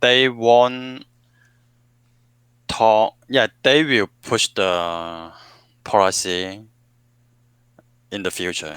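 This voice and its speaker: Speaking very slowly with long, frequent pauses, a man with a Hong Kong accent uses a fairly low pitch and ordinary pitch variation, in a dry, close sound with no echo. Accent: Hong Kong Cantonese. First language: Cantonese. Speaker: English student. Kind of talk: online English lesson conversation. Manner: halting.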